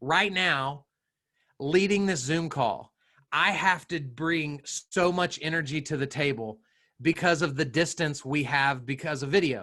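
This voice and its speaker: Loud, with a bright, sharp tone, a man speaks at a fairly slow pace with a fairly high pitch and ordinary pitch variation. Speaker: social media trainer for realtors. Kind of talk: webinar presentation. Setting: video call. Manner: animated.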